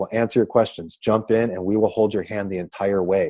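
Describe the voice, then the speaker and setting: Over a quiet background, a man talks at a fairly quick pace in a dark, mellow tone. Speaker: network marketing presenter. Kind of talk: sales pitch. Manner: fast; animated.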